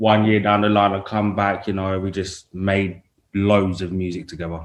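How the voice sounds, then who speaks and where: A man speaks with an East London accent. His intonation is monotone and flat. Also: fairly low pitch for a man, moderate pace. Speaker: rapper. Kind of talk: interview.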